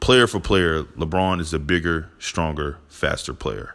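A man speaks with vocal fry at a very deep, low pitch. The recording is very clean, with a silent background. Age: 20s. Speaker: sports podcaster. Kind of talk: solo opinion monologue. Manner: animated.

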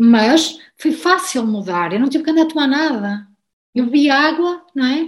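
Her intonation is lively and her pitch high. The woman keeps a moderate pace. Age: 40s. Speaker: guest sharing personal health story, recipe social media creator. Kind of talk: interview conversation.

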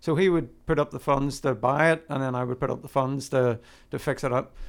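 A man with a Northern Irish accent on a very clean recording with a silent background. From Northern Ireland. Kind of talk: casual chat.

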